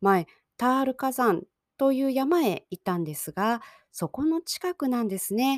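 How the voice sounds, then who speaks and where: Recorded very cleanly against a silent background, the voice moves at a fairly slow pace with very wide pitch swings in a dry, close sound with no echo. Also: woman. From Japan. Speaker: Japanese language teacher podcaster. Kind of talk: language-learning podcast monologue. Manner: slow, simple learner-friendly speech.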